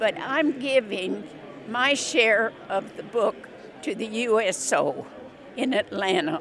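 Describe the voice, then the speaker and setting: Speaking very slowly with long, frequent pauses, a woman uses a fairly high pitch and lively intonation over noticeable background noise. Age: 80s+. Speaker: war veteran. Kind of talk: interview.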